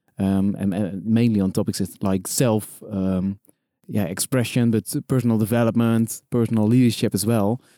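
In a very clean recording with a silent background and a dry, close sound with no echo, a man with a Dutch accent speaks in a fairly low, dark, mellow tone with fairly even intonation and very even loudness. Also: moderate pace. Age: 30s. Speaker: professional event host and personal development coach. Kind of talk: podcast interview.

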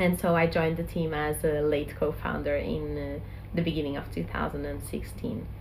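This woman speaks at a moderate pace. The recording has audible room echo and noticeable background noise. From Portugal. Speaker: social enterprise co-founder. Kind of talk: interview.

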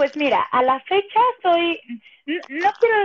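An ordinary speaking voice from a woman, at a fairly slow pace with ordinary pitch variation, in a dry, close sound with no echo. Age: 30s. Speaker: stage actress and musical performer. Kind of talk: casual chat.

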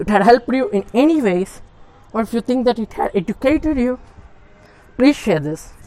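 A fairly high female voice, lively in its intonation, at a moderate speed. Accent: non-native. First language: not English. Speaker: podcaster. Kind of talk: solo monologue podcast. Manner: halting.

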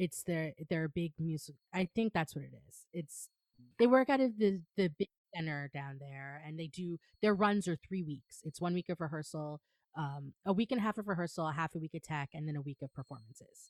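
A woman with an American accent speaks in a plain, everyday voice, fairly low in pitch, at a moderate pace with big swings in loudness. The recording is very clean with a silent background and a dry, close sound with no echo. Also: ordinary pitch variation. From New York, Long Island. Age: 40s. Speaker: stage manager. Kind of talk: casual interview.

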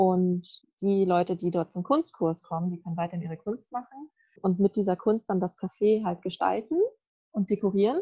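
A woman speaks at a moderate pace in a dark, mellow tone that is somewhat breathy. The sound is dry and close with no echo. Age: 20s. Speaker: university student. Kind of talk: casual chat. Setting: video call from a garden.

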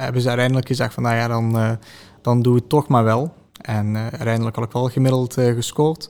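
Intonation holds fairly even. The words come at a fairly quick pace. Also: man, medium pitch for a man. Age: 20s. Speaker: teacher. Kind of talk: interview. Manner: hesitant.

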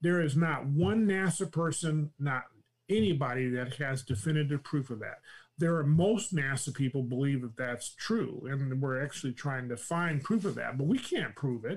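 This man has an American accent and a somewhat breathy, fairly high voice, speaking at a moderate pace in a very clean recording with a silent background. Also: lively intonation. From California. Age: 60s. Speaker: retired NASA executive. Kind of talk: casual interview chat. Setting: live stream.

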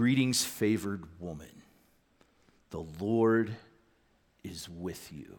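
A man puts on a booming character voice with a fairly low pitch. He speaks very slowly, leaving long, frequent pauses.

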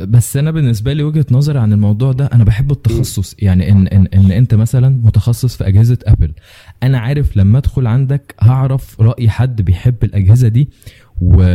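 A somewhat breathy voice with a dark, mellow tone speaks at a moderate pace with ordinary pitch variation, recorded with a dry, close sound and no echo. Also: man, medium pitch for a man. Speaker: podcast host. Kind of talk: casual chat.

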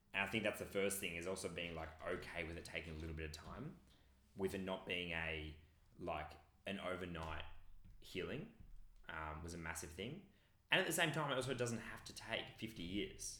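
Amid audible room echo, a man with an Australian accent speaks at a moderate pace in a very deep, low pitch with a bright, sharp tone and long, frequent pauses. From regional Victoria, Australia. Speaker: personal development coach. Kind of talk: interview conversation.

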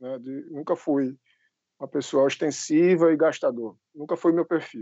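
A man talks with a fairly high-pitched voice. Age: 30s. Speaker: financial educator and civil servant. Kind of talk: interview.

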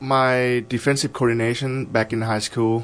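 An ordinary speaking voice from a man with an American accent, fairly even intonation and a moderate pace. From Idaho. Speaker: college football player. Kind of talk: interview.

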